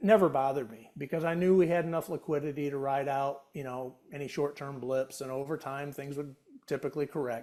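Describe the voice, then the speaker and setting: A man with a fairly high pitch and a dark, mellow tone speaks at a fairly quick pace with hardly any pauses. His intonation is fairly even, but his loudness swings widely. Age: 60s. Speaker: retiree, former industry professional. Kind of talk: interview conversation. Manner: casual, with repetitions and fillers.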